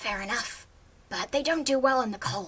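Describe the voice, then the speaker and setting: Putting on a character voice, a woman speaks at a moderate pace in a high pitch. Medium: read story. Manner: guarded, curt.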